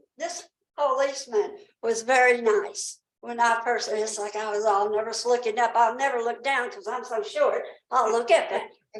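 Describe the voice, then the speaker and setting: A woman speaks fairly slowly at a high pitch, with audible room echo. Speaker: resident speaking at public comment. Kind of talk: public comment at town council meeting. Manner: rambling, halting.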